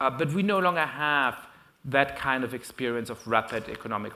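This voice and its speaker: A man with a German accent speaks in a bright, sharp tone, with audible echo in the room. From Germany. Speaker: professor. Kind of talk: lecture. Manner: frequent fillers and hesitations.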